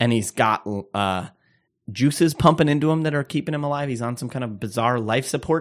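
Here a man speaks with an Upper Midwest accent. His pitch varies in an ordinary way. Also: medium pitch for a man, fairly quick pace, very clean recording, silent background. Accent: Upper Midwest American. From Minnesota.

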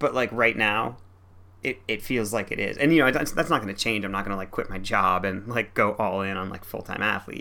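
A man's fairly low-pitched voice with a bright, sharp tone, vocal fry, fairly even intonation and a fairly quick pace

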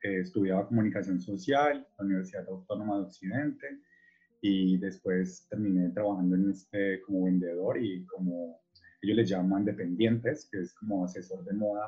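A man talks with ordinary pitch variation while music plays behind him. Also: fairly low pitch for a man, moderate pace. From Colombia, Cali. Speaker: artist. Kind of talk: interview. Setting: video call.

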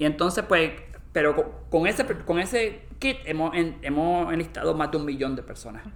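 A man talks with lively intonation. His voice carries vocal fry. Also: fairly high pitch for a man, moderate pace. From Puerto Rico. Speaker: molecular anthropologist. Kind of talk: interview. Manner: halting, with many repetitions.

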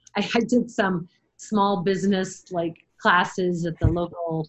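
Somewhat breathy, a woman speaks at a fairly low pitch with fairly even intonation. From Michigan, US. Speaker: veterinarian. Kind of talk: casual interview.

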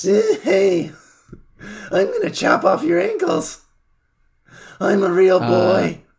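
A man puts on a raspy, menacing character voice pitched high for a man. He talks at a very slow pace with long, frequent pauses. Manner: creepy, menacing.

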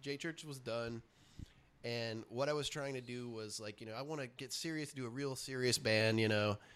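Speaking at a moderate pace with fairly even intonation, a man with an American accent has a medium pitch and an unremarkable speaking voice, on a very clean recording with a silent background. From US South, Richmond, Virginia. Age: 40s. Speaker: punk musician and comic artist. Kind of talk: casual interview.

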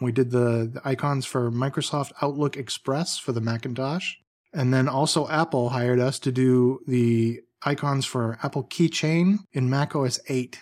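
In a very clean recording with a silent background, a man uses a plain, everyday voice at a medium pitch, moderate pace and fairly even intonation. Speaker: icon and emoji designer, studio co-owner. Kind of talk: interview chat.

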